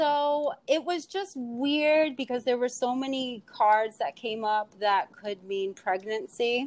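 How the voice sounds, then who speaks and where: With a New York accent, a woman speaks at a very slow pace and a high pitch, her intonation lively and hardly any pauses breaking it up. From New York, Queens (Astoria). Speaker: poet and tarot card reader. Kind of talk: casual chat.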